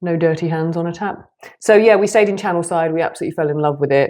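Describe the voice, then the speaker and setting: A woman speaks in a British accent. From Britain. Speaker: nutritionist and health coach. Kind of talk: podcast explainer; casual chat.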